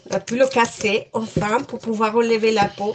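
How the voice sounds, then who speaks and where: A woman with a Spanish accent, fairly high in pitch, at a moderate pace over noticeable background noise. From Colombia. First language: Spanish (speaking French). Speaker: home cook, mother. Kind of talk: casual cooking chat.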